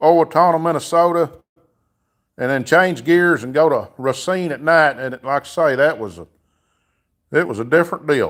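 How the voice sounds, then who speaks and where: A man speaks with a Southern US accent. His pitch is fairly high. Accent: southern drawl. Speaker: livestreamer, car mechanic hobbyist. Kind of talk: casual live stream chat. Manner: casual, filler-heavy.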